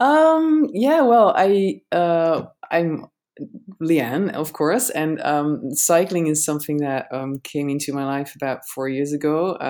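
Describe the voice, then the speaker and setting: A woman's very deep, low voice with a Dutch accent, a dark, mellow tone and a very slow pace. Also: lively intonation. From Netherlands. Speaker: cycling content creator. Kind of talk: casual interview chat.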